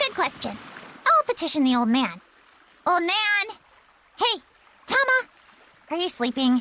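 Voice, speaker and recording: A put-on character voice at extremely high pitch, with very wide pitch swings, a moderate pace and long, frequent pauses. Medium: video game. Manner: imperious, petulant.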